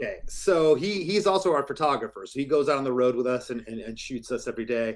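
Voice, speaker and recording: With an American accent, a man rushes along at a very fast pace with hardly any pauses and lively intonation, over noticeable background noise. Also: fairly high pitch for a man. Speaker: rock band singer and guitarist. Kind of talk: interview. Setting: video call.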